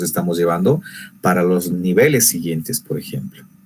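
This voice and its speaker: A man with a fairly low voice talks at a moderate pace with lively intonation. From Bolivia, rural Quechua-speaking area. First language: Quechua (speaking Spanish). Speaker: teacher and workshop presenter. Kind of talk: online lecture.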